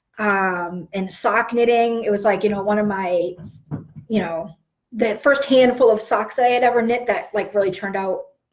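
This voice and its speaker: A woman with a fairly high pitch speaks at a moderate pace with ordinary pitch variation. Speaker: knitting podcaster and yarn dyer. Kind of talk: casual live stream chat. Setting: live video stream. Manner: animated.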